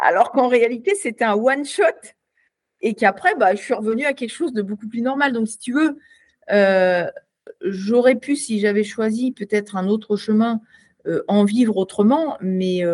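A woman talks at a fairly slow pace with long, frequent pauses. Her pitch is fairly high, with ordinary variation. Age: 50s. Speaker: retired Olympic sport shooter. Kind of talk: casual interview. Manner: hesitant, many repetitions.

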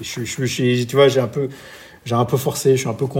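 Medium pitch and fairly even intonation from a man, with an unremarkable speaking voice. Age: 40s. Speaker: entrepreneur and amateur triathlete. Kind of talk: interview.

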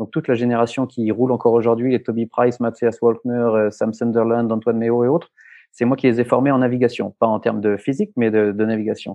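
A man at medium pitch, fairly quick, with monotone, flat intonation. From France. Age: 40s. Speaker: rally co-driver and former athlete. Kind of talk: interview. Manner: halting, many repetitions and fillers.

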